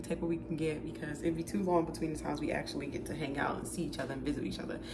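A woman talking at a very fast pace over clear music in the background. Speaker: vlogger. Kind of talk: casual vlog chat. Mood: excited, upbeat. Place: kitchen. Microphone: phone near.

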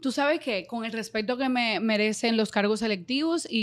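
A woman is speaking at a moderate pace. The background is quiet. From Dominican Republic. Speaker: radio and TV presenter; radio, TV presenter. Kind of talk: casual interview. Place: studio. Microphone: studio mic.

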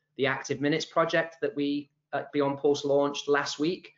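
Against a quiet background, a man is speaking. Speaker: webinar host. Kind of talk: host introduction. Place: office. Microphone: video call.

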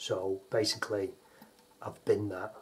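Here a man talks in a British accent at a fairly low pitch. His delivery is monotone and flat, and his voice is somewhat breathy. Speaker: painter and decorator. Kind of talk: tutorial.

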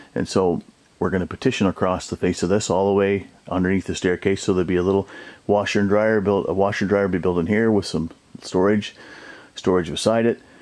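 A man's fairly low, monotone, flat voice at a very fast pace. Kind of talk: casual walkthrough narration. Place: home room. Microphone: phone near.

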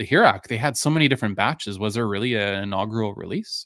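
Very clean recording with a silent background, a man's fairly low voice in a fairly bright tone

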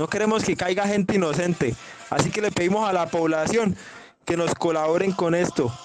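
A man speaks in a high pitch with ordinary pitch variation. Noticeable background noise sits behind him. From Colombia. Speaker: claimed paramilitary commander. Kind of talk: threatening voice message. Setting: phone voice note. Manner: aggressive, profane. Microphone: phone near.

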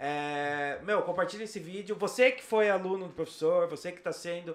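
A man talks at a moderate pace with an animated tone. His pitch varies in an ordinary way. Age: 30s. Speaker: podcast host. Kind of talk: casual interview. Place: studio. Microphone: studio mic.

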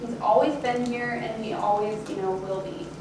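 A woman talks at a moderate pace. Noticeable background noise and audible room echo come through on the clip. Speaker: speaker. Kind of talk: sermon-like talk. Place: church.

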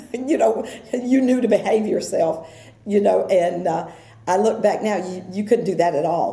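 A woman speaks at a fairly slow pace with an American accent and ordinary pitch variation. Audible room echo fills the recording. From Brooksville, Florida, USA. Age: 70s. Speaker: oral history interviewee. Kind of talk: oral history interview answer. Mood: warm, nostalgic.

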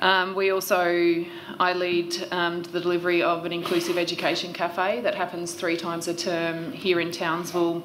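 A woman with an Australian accent, fairly low pitch and monotone, flat intonation, over noticeable background noise. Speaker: regional education coach. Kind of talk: witness testimony. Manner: fast; hesitant, many fillers. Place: hall. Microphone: podium.

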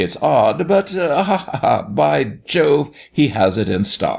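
Using a put-on character voice, a man speaks slowly with vocal fry, big pitch swings and a slightly mellow tone. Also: medium pitch for a man.

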